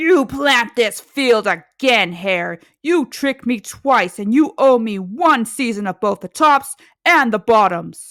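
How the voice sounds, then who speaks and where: Using a put-on character voice with a fairly high pitch, a woman speaks at a fairly slow pace on a very clean recording with a silent background. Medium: read story. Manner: slow, grumbling.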